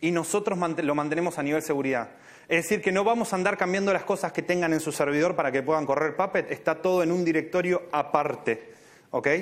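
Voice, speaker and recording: A man with an Argentine accent talks very fast in a high pitch, keeping his loudness very even. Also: ordinary pitch variation. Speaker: software engineer. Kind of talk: Q&A answer; conference talk.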